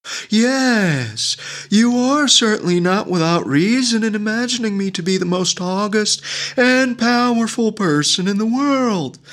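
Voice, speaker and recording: This man uses a put-on character voice pitched high for a man, at a moderate pace. There is light background noise. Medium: read story. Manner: stately, formal.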